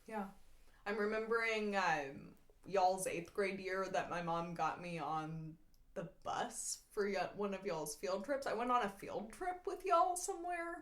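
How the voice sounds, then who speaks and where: With lively intonation and an American accent, a woman speaks amid audible room echo. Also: medium pitch for a woman, fairly slow pace. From Texas. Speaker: podcast host. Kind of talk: casual chat.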